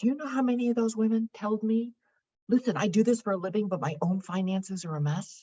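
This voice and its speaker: A woman talks very fast at a fairly high pitch. Her tone is dark and mellow, and somewhat breathy. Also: ordinary pitch variation. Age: 70s. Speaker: financial therapist and author. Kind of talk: interview conversation.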